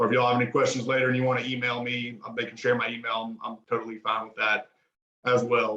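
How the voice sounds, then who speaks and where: A man with an American accent at a very fast pace. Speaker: emergency physician, medical director. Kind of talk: lecture. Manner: casual, informal.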